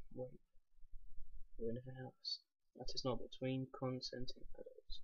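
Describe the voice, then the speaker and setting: A soft-spoken man talks at a fairly slow pace. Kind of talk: book reading.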